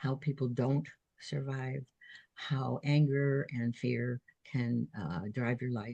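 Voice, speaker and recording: A woman with an American accent speaks at a very slow pace in a very deep, low pitch, somewhat breathy, with a dark, mellow tone. Her pitch variation is ordinary. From New Jersey. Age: 80s+. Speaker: author and retired nurse. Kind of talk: casual interview.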